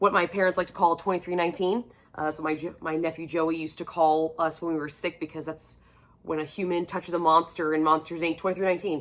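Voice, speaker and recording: Speaking at a very fast pace, this woman has a fairly low pitch. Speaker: book vlogger. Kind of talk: casual chat. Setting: sitting on the floor at home. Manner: animated.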